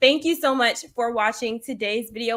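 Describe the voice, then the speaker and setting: Her voice is raised and projected. She has a bright, sharp tone. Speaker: finance YouTuber. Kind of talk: live stream Q&A. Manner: fast; halting.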